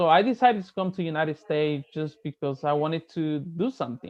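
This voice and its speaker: A man with a Spanish accent talks at a fairly quick pace in a high voice. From Mexico, Veracruz. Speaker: real estate agent. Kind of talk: casual chat.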